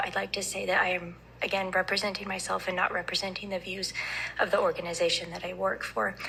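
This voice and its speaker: Noticeable background noise behind a woman talking at a fairly quick tempo in a middle pitch range. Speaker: addiction medicine physician testifying. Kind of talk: legislative committee testimony. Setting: committee hearing room. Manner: hesitant, many ums. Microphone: too quiet, told to move closer.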